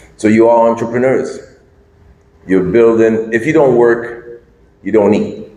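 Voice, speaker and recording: A man with a medium-pitched voice talks at a fairly slow pace with fairly even intonation, leaving long, frequent pauses, and audible room echo surrounds him. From St. Lucia. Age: 60s. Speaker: business consultant speaker. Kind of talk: talk at a meeting. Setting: hotel meeting room with audience.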